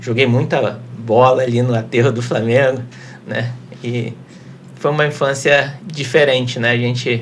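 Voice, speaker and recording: Amid noticeable background noise and audible room echo, a man with a Carioca accent talks at a moderate pace and medium pitch, his intonation fairly even. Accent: Carioca (Rio de Janeiro). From Rio de Janeiro, Brazil. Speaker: lawyer. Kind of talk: casual interview.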